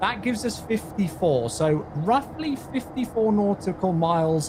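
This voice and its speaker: Amid noticeable background noise, a man with an English accent speaks at a moderate pace with very wide pitch swings. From England. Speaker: community manager hosting flight sim livestream. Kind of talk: live-stream tutorial chat. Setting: livestream.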